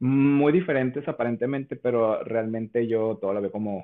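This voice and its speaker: A normal speaking voice, fairly even intonation, and a moderate pace. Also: man. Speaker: content creator and voice impressionist. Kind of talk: casual interview.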